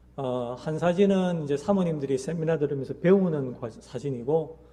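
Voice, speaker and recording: A man with a fairly high pitch and a dark, mellow tone speaks at a fairly slow pace with ordinary pitch variation, and there is audible room echo. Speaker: missionary. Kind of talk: mission report in church service. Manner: hesitant with many fillers.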